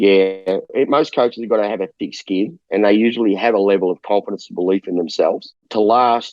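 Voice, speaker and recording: Speaking with an Australian accent, a man with a fairly low pitch and ordinary pitch variation talks with hardly any pauses. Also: fairly quick pace. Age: 60s. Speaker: basketball coach. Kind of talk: interview.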